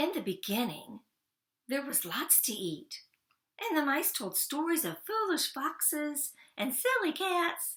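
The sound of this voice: A woman speaks slowly at a high pitch, her fairly bright tone rising and falling in big pitch swings.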